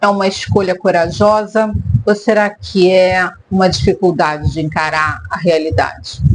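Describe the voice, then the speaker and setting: The woman's voice sits at a medium pitch, her intonation fairly even throughout. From Brazil, Rio de Janeiro. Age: 50s. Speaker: therapist and vlogger. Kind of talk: personal vlog monologue.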